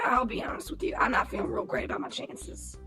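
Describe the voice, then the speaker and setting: The put-on character voice is raspy and very fast. Clear background noise runs underneath. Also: man. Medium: audio drama. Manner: laconic, deadpan.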